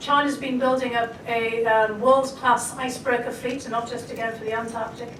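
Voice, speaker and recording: With a Scottish accent, a woman talks at a fairly quick pace in a high, monotone, flat voice, with audible room echo and noticeable background noise. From Scotland. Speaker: foreign policy expert. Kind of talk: panel discussion. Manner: hesitant, many fillers.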